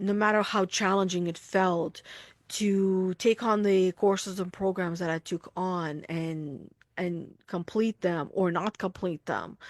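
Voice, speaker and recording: In a dry, close recording with no echo, a woman with an unremarkable speaking voice talks at a medium pitch with fairly even intonation. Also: quiet background. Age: 30s. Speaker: spiritual coach and podcast host. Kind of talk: casual podcast conversation. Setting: live stream to online group.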